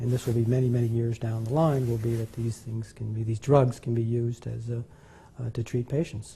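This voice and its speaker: A man speaks at a fairly quick pace in a medium pitch. His dark, mellow tone is somewhat breathy and his intonation is monotone and flat. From Venezuela. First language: Spanish. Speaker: scientist. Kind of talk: interview. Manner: halting, many fillers.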